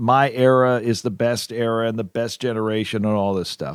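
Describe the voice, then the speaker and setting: Recorded very cleanly against a silent background, dry and close with no echo, a man speaks in a normal speaking voice at a medium pitch and a moderate pace. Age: 60s. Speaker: podcast co-host. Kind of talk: casual chat.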